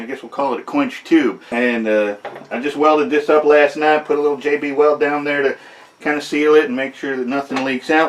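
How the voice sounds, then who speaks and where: The speaker moves at a fairly quick pace with fairly even intonation, with noticeable background noise behind. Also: man, fairly high pitch for a man. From Michigan, US. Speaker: blacksmith and knife maker. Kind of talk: casual workshop commentary. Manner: casual, many fillers and restarts.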